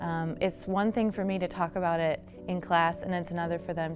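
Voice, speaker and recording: Music plays in the background as a woman speaks at a fairly low pitch with fairly even intonation. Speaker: history professor. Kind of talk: explaining the project in an interview.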